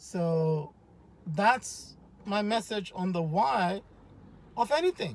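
Speaking at a very slow pace with long, frequent pauses, a man comes through in a dry sound with no echo. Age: 50s. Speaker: powerlifter and fitness YouTuber. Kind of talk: vlog monologue. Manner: conversational, direct address. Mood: earnest, motivational. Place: car. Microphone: phone near.

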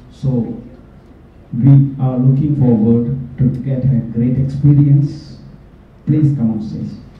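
Amid audible room echo, a man speaks very slowly in a monotone, flat intonation. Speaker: chartered accountant, committee member. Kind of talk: speaker introduction. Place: hall.

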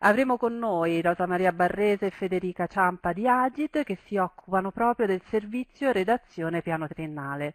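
A woman speaks at a moderate pace with hardly any pauses. The background is quiet, and the sound is dry with no echo. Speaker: webinar host or moderator. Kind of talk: webinar introduction. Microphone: headset.

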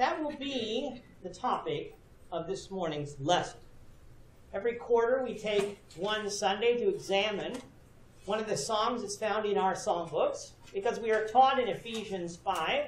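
Audible room echo surrounds a man who speaks fairly slowly with a high pitch and ordinary pitch variation. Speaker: preacher. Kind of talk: sermon. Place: church.

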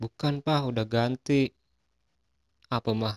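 A man speaks with monotone, flat intonation. The sound is dry and close, with no echo. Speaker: stand-up comedian and logo designer. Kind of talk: stand-up comedy routine of setup-and-punchline jokes.

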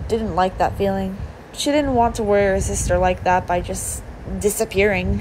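A plain reading aloud of text

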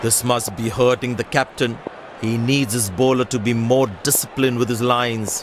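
Amid noticeable background noise, a man with a medium pitch speaks at a moderate pace in a monotone, flat intonation. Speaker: cricket commentator in a video game. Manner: clipped, punchy snippets with abrupt shifts between calls.

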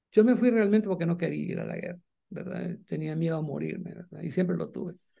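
There is little noise behind the voice. The speaker is a man. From El Salvador, eastern (Jocoro, Morazán); Morazán, El Salvador. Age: 60s. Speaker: writer and journalist, former guerrilla radio founder; journalist, former guerrilla radio founder. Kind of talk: interview. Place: home room. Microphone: video call.

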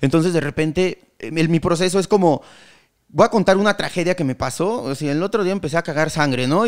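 Talking at a very fast pace, a man uses ordinary pitch variation. The background is quiet. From Mexico, Querétaro; Mexico. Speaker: comedian; podcast guest, comedian. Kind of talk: casual chat. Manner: halting. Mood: joking, animated storytelling. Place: studio. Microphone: studio mic.

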